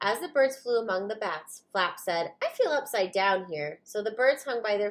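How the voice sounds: The reading here comes in a natural voice.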